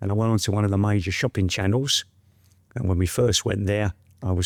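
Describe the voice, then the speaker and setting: In a very clean recording with a silent background, a man with an English accent speaks at a moderate pace and fairly low pitch, keeping his intonation fairly even. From West London, England. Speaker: trichologist and hair product maker. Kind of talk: casual interview chat. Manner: soft-spoken.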